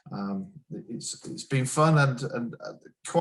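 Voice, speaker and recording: With a slight northern English accent, a man speaks using lively intonation. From northern England, Sheffield. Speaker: business executive. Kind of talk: interview. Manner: hesitant, many fillers and repeats.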